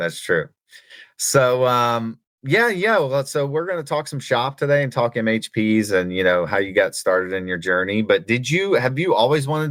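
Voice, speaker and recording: With a slight Southern US accent, a man speaks in very wide pitch swings. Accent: slight Southern twang. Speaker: podcast host. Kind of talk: casual interview chat.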